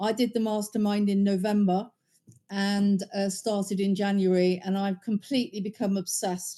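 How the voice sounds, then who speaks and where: Speaking in a British accent, a woman at medium pitch has a dark, mellow tone, monotone, flat intonation and a moderate pace. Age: 60s. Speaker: course student and agency owner. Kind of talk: testimonial. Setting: video call from home bedroom. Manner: halting with fillers.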